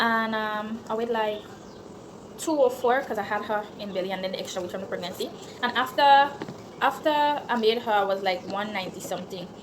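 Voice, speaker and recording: A woman's fairly high voice with a Grenadian accent, ordinary pitch variation, a fairly quick pace and audible room echo. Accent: Grenadian Creole English. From Grenada, St David's. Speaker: YouTuber. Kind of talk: Q&A vlog, casual chat. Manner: casual, conversational.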